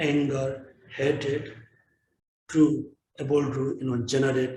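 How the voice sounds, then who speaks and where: A man speaks at a medium pitch, his voice somewhat breathy. The tone is dark and mellow. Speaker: Buddhist teacher. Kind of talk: dharma teaching and dedication. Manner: halting.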